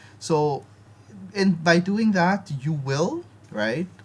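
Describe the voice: Delivered at a slow pace, the voice has a slightly mellow tone and lively intonation. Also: man, fairly high pitch for a man.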